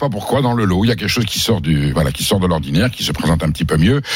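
Pitch swings very widely as a man talks at a very fast pace. Background noise is noticeable. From southern France. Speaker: food columnist. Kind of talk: radio chat; recipe tutorial.

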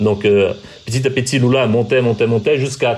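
A man talks at a medium pitch, with noticeable background noise behind him. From Brazil. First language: Portuguese (speaking French). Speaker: TV journalist. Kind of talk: interview. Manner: halting, with repetitions.

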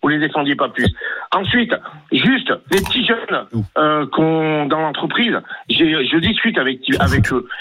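A man with a fairly high voice talks at a fairly slow pace, his pitch swinging very widely while his loudness stays very even. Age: 50s. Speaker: caller, metro driver. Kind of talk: radio call-in opinion. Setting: phone call.

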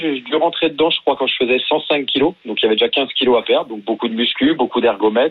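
Man at a medium pitch and a fairly quick pace. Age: 40s. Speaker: paralympic paracanoe athlete. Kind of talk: radio interview. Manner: casual, hesitant.

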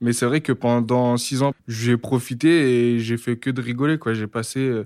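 Recorded dry and close with no echo, a man speaks at a very slow pace and medium pitch. The intonation is fairly even, and the recording is very clean with a silent background. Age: 20s. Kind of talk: testimony.

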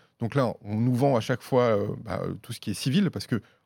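The recording is very clean, with a silent background and a dry, close sound with no echo. A man speaks at a medium pitch with ordinary pitch variation. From Auvergne, France. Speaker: journalist. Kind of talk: casual chat.

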